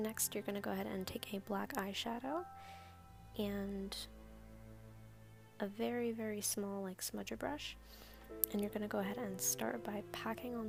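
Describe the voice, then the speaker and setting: Soft-spoken and at a moderate pace, a woman talks with long, frequent pauses while music plays in the background. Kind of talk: makeup tutorial voice-over.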